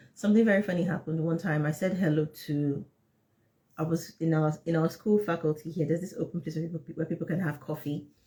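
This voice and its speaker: Someone with a Nigerian accent talks at a very fast pace in an animated tone. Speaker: English teacher. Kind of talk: live class chat.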